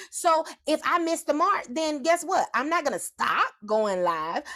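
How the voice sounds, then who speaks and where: Loud and animated, this voice carries a strong Southern US accent. Its pitch swings very widely. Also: woman. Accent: Southern drawl, strong. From US South. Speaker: motivational speaker. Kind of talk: motivational livestream talk.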